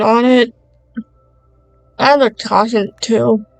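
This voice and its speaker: Over music in the background, a woman with a fairly high pitch talks very slowly in a monotone, flat delivery. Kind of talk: product unboxing review vlog. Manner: casual talk to camera.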